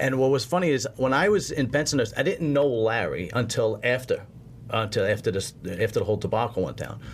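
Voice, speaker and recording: A man in a Brooklyn accent talks at a fairly quick pace, somewhat breathy, with lively intonation. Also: medium pitch for a man. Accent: New York (Brooklyn). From Brooklyn, New York. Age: 40s. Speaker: podcast host and bodybuilder. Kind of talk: casual chat.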